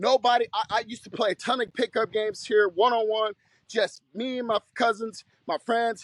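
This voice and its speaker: Loud and at a high pitch, a man talks at a fairly quick pace. The sound is dry and close, with no echo. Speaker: basketball coach. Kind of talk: tutorial. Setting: outdoors.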